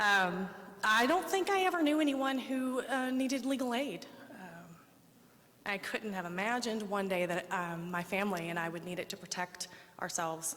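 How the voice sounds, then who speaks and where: Over noticeable background noise, a woman with an American accent talks at a moderate pace and medium pitch with lively intonation. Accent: Oklahoma accent, comes out when nervous. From Oklahoma, small town. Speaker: domestic violence survivor sharing her story. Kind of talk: public speech, personal testimony. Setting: public speech at the state house to a crowd. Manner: halting, many fillers.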